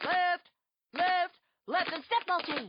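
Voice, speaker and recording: The pitch is extremely high. It comes from a put-on character voice. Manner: barking, commanding.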